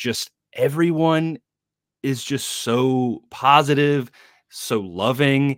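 A man's fairly high-pitched voice with lively intonation, in a dry, close sound with no echo. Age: 20s. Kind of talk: casual chat. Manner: halting, many fillers.

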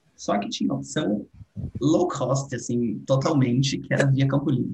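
A man's medium-pitched voice with vocal fry. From Brazil, São Paulo state interior. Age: 20s. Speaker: international relations graduate and art educator. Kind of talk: casual interview chat.

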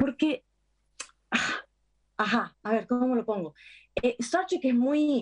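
A woman speaks very slowly at a high pitch, with long, frequent pauses. Her intonation is lively while her loudness stays very even. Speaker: actress. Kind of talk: interview.

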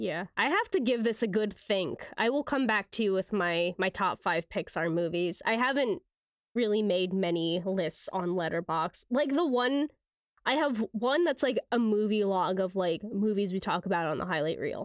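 A woman's ordinary speaking voice at medium pitch and moderate pace, with lively intonation, very even loudness and a dry, close sound with no echo. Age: 20s. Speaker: film podcast co-host. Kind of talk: casual chat.

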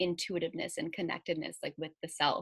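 Recorded with a dry, close sound and no echo, a woman speaks in a fairly low pitch. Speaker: podcast host and wellness coach. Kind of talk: casual interview chat. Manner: upbeat, animated.

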